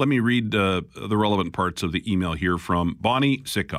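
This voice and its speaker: A man talks with a Canadian accent. He has a plain, everyday voice. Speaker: radio talk show host. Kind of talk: talk radio. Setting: studio. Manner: conversational.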